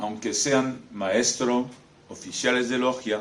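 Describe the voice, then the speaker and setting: A man speaking very slowly at medium pitch with a non-native accent, with audible room echo. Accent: foreign accent in Spanish. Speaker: former freemason, author. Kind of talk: lecture. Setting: talk in front of an audience. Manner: halting, with many hesitations.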